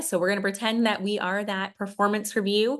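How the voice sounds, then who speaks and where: The background is quiet. A woman is speaking. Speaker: podcast host and educator. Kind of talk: tutorial. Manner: animated.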